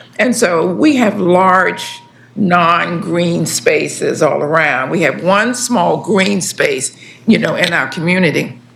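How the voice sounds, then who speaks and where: A woman with a fairly low voice speaks at a very slow pace with lively intonation and very even loudness, amid audible room echo and noticeable background noise. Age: 70s. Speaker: community resident testifying. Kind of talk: public testimony.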